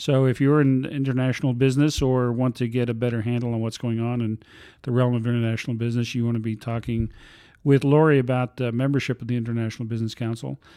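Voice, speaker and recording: A man talks at a very fast pace in a medium pitch, his tone dark and mellow and his intonation monotone and flat, with a quiet background behind him. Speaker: podcast host. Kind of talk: interview conversation. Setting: studio.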